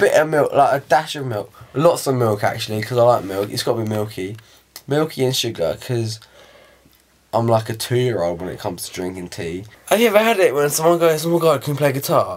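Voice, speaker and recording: A man with a British accent, very fast pace and very wide pitch swings. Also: medium pitch for a man. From England. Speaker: vlogger. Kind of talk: casual talk to camera.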